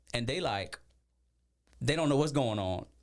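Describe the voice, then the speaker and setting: A man speaks at a moderate pace with very wide pitch swings and vocal fry, in a very clean recording with a silent background. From Louisiana (Mamou, Cajun country). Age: 40s. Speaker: social media creator. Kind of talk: podcast interview.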